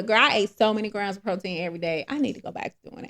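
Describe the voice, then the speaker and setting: A raspy, put-on character voice racing along at a very fast clip. The loudness jumps and drops sharply throughout. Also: woman, medium pitch for a woman. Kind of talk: casual, chatty. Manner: excited, enthusiastic.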